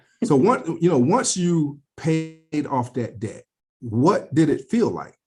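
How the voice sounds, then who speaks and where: Over music in the background, a man with a fairly high pitch talks at a very slow pace, his pitch swinging very widely. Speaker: personal finance channel host, interviewer. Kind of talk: casual interview.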